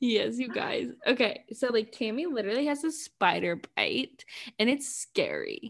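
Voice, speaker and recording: With very wide pitch swings, a woman speaks at a high pitch and a fairly slow pace. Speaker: podcast co-host. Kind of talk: casual chat.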